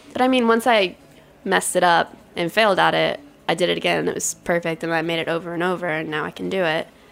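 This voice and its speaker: A woman speaks at a fairly quick pace. Noticeable background noise can be heard. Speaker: pastry chef. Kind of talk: interview conversation.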